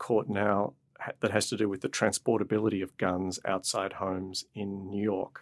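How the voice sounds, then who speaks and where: With an Australian accent, the speaker talks at a moderate pace in a flat, monotone delivery, the sound dry and close with no echo. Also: man, very clean recording, silent background. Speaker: professor of medicine and law. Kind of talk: interview.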